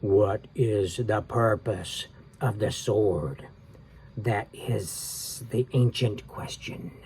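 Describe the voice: A man puts on a character voice. He speaks at a very slow pace. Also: fairly low pitch for a man.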